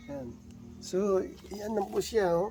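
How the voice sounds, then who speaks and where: The delivery is very slow, and music can be heard in the background. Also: man. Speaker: gardening vlogger. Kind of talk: casual video blog. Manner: halting.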